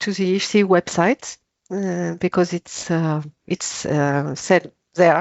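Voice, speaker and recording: Woman with a French accent. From France. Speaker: author. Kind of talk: panel discussion. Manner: halting.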